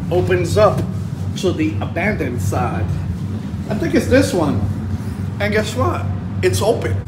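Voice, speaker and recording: A man at a fairly slow pace with ordinary pitch variation, music in the background. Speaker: urban explorer vlogger. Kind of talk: casual vlog chat. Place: station. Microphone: phone near.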